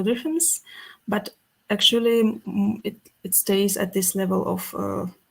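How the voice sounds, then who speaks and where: A woman speaks very slowly in a Russian accent, somewhat breathy. Her pitch is medium with ordinary variation. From Russia, Karelia. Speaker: musician. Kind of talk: interview. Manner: halting.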